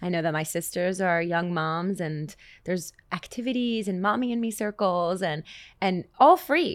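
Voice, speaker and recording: A woman with a plain, everyday voice at medium pitch, ordinary pitch variation and a moderate pace, in a very clean recording with a silent background. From Canada. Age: 20s. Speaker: singer and songwriter. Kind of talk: casual interview chat.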